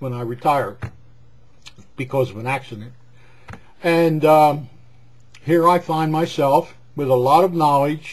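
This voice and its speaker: A man speaks at a moderate pace in an American accent. His voice is fairly high and somewhat breathy, with ordinary pitch variation. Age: 60s. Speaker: retired gas station owner. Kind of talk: personal vlog monologue. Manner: rambling conversational with hesitations; talkative.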